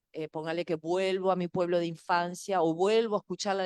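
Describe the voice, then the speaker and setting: Speaking at a fairly quick pace, a woman with an ordinary speaking voice and a fairly low pitch is heard in a dry, close sound with no echo. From Uruguay. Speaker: sound researcher / speaker. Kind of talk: talk answering questions. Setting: video call.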